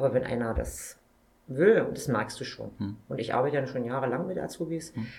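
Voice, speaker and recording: Speaking fairly quickly, a woman uses a very deep, low voice with ordinary pitch variation. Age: 50s. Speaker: supermarket owner-manager. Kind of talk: interview.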